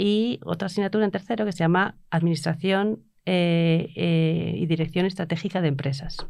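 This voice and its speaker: At a fairly quick pace with hardly any pauses, a woman talks in a fairly low pitch with a dark, mellow tone and ordinary pitch variation. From Bilbao, Spain. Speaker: university professor. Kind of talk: casual chat.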